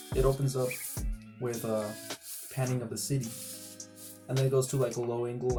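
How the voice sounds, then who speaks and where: Over music in the background, a man talks at a very fast pace. His medium-pitched delivery is monotone and flat. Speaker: amateur filmmaker. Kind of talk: casual explanation to camera.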